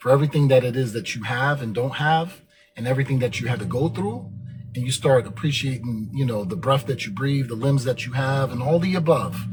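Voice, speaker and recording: Music plays behind a man speaking at a moderate pace. His pitch varies in an ordinary way. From Germany. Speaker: motivational podcast host. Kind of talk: motivational monologue. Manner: filler-heavy, occasionally tongue-tied.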